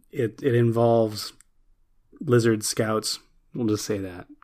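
The recording is very clean, with a silent background. A man speaks at a medium pitch and a fairly slow pace. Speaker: podcast co-host. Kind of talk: casual chat. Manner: animated, joking.

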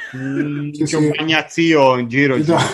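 A man with a Tuscan accent at a fairly quick pace. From Tuscany, Italy. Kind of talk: casual chat. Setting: recording with friends, recorded on his device. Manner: animated.

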